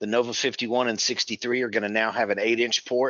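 A man's monotone, flat intonation against a quiet background. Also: dry sound with no echo. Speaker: presenter. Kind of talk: webinar presentation. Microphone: video call.

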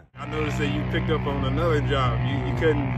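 A man talks at a very fast pace. Loud music plays behind a dry sound with no echo. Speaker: interviewer, grandson. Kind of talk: interview questions. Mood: warm, respectful. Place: open country.

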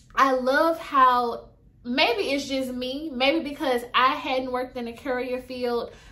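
A woman speaks in a raised, projected voice with a bright, sharp tone. Her pace is very slow and her intonation fairly even. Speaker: courier side-hustle vlogger. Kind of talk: casual vlog chat. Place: home room. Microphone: phone near.

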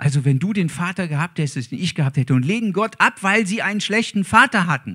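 A man's high, warm voice with lively intonation, racing very fast with hardly any pauses over a quiet background. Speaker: preacher. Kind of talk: sermon. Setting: church. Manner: warm, earnest, preaching. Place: church. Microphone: handheld.

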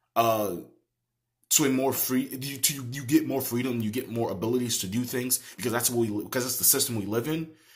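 A man's somewhat breathy voice with fairly even intonation over a quiet background. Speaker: political commentator. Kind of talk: opinion rant to camera. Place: home room. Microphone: phone near.

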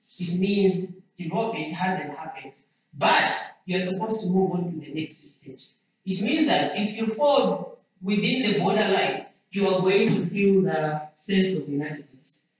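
Strong room echo surrounds the voice against a quiet background. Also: moderate pace. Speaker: lecturer. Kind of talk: lecture. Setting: classroom. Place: classroom. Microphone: camera far.

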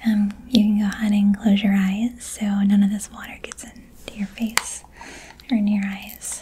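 With noticeable background noise behind her, a woman talks at a moderate pace in a monotone, flat intonation. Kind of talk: role-play client chat. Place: home room. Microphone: phone near.

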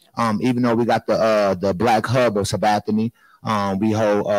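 A man with an American accent and an unremarkable speaking voice, medium in pitch, at a moderate pace with fairly even intonation, in a dry, echo-free recording over a quiet background. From US Midwest. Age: 30s. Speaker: nonprofit founder; panelist. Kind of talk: panel discussion. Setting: stage with audience. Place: hall. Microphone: handheld.

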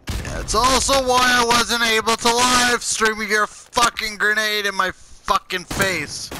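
Over noticeable background noise, a man with a high pitch speaks in a raised, projected voice. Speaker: gaming youtuber. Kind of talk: casual gaming chat. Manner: stuttering, halting; animated.

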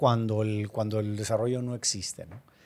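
Moderately paced speech from a man. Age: 50s. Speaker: real estate developer; podcast guest. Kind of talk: interview. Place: studio. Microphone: studio mic.

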